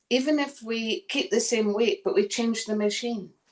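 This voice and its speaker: With a Scottish accent, a woman with a fairly high pitch talks at a moderate pace with lively intonation. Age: 60s. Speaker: chronic fatigue patient, former personal trainer. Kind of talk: testimony.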